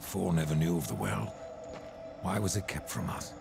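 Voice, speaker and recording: A man puts on a character voice at a very deep, low pitch. He keeps a moderate pace, with clear background noise behind him. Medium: machinima. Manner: sardonic, defiant.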